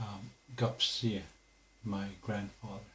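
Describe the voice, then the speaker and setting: Over audible room echo, a man with a fairly low pitch speaks at a very slow pace. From Canada, Alberta (Piikani reserve). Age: 50s. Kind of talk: interview. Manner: hesitant, many fillers.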